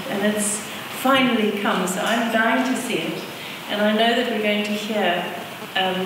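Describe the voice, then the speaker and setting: Amid strong room echo and noticeable background noise, a woman speaks at a moderate pace with fairly even intonation. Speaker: event host. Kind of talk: welcome speech introducing guests. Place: hall. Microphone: camera far.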